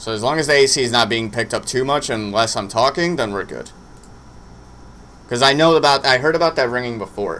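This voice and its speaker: A man with a bright, sharp tone speaks with ordinary pitch variation. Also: medium pitch for a man, fairly quick pace. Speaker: streamer doing wrestling watch-along. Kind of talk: live stream casual chat. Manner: loud.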